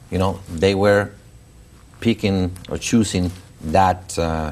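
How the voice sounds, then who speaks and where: With a Mexican accent, a man speaks at a very deep, low pitch with ordinary pitch variation. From Mexico. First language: Spanish. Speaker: school founder and education publisher. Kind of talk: interview. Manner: halting.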